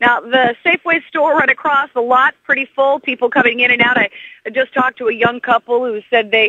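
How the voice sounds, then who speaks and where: Fairly high pitch from a woman with a plain, everyday voice, fairly even intonation and a moderate pace. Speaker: field reporter. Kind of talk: radio newsreading. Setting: outdoors.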